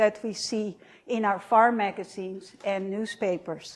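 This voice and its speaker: A woman speaks with a Dutch accent. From Netherlands. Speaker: professor. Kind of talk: lecture. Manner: many fillers (uh).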